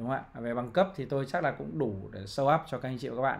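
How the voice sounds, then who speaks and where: Lively intonation from a male speaker. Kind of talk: commentary. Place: home room.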